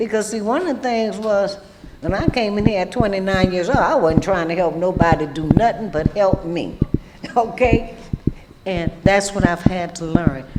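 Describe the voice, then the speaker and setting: In a Louisiana accent, the speaker talks at a moderate pace against noticeable background noise. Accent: Southern US (Louisiana). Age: old. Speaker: recovering alcoholic panelist. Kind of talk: testimony. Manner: loud; animated.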